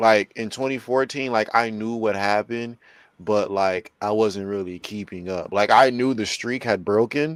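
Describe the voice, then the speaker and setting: This man has an unremarkable speaking voice at a fairly low pitch. He keeps a moderate pace and fairly even intonation. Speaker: wrestling podcast host. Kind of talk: casual chat. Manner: casual, filler-heavy speech.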